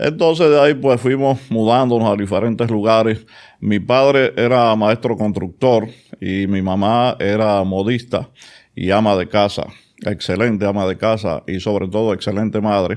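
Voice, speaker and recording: At a moderate pace, a man with a Dominican accent speaks in a fairly low pitch with ordinary pitch variation, on a very clean recording with a silent background. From Dominican Republic, Santo Domingo (Villa Juana). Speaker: oral and maxillofacial surgeon. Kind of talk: interview.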